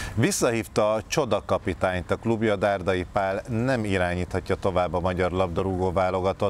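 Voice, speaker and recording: Over light background noise, a man with a very deep, low pitch speaks at a moderate pace with ordinary pitch variation, the sound dry with no echo. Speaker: TV morning show host. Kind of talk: studio interview discussion. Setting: studio. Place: studio.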